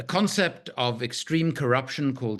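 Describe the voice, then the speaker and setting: Over a quiet background, a bright, sharp tone comes through at a fairly slow pace. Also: man. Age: 60s. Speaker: arms trade researcher and author. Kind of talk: panel discussion.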